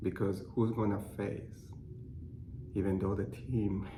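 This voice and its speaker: In a Cuban accent, a man speaks fairly slowly with vocal fry and a fairly low pitch that varies in an ordinary way. Audible room echo surrounds his voice. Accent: noticeable Cuban Spanish. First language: Spanish. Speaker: clinical research associate. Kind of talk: personal testimony. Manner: halting.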